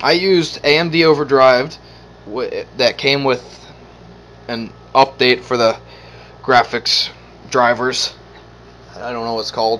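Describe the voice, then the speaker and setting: Over noticeable background noise, a man speaks fairly slowly at a medium pitch with ordinary pitch variation, long, frequent pauses and big swings in loudness. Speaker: gaming setup vlogger. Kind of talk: casual chat.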